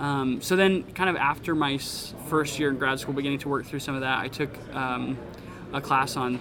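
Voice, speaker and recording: A man with an American accent speaks at a medium pitch, his intonation fairly even. There is audible room echo and noticeable background noise. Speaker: pastor. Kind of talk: interview. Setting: conference lunch break.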